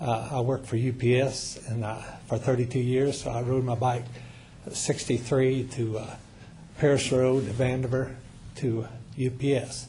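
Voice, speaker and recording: Against audible room echo, a man with a Midwestern American accent and a medium pitch talks at a moderate pace in a monotone, flat intonation, his somewhat breathy voice dark and mellow in tone, with long, frequent pauses. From US Midwest, Missouri. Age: 70s. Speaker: public commenter, retired truck driver. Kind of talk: public comment at council meeting. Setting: city council meeting. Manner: halting, many fillers.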